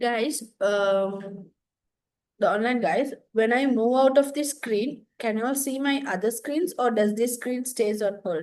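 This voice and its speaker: A woman speaks fairly slowly in a high pitch, her pitch varying in an ordinary way. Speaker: lecturer. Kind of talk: lecture. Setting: classroom with online students. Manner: casual, chatty.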